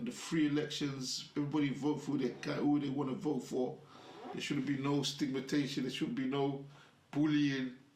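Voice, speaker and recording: Audible room echo surrounds a man speaking fairly quickly in a fairly high voice with fairly even intonation. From London, UK. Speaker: afrobeats music industry figure. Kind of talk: casual interview chat. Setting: studio.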